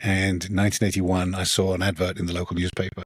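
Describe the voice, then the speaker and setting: Speaking at a very fast pace, a man with a British accent has a very deep, low pitch. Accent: British, noticeable. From England. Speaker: author, former software engineer. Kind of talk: podcast interview.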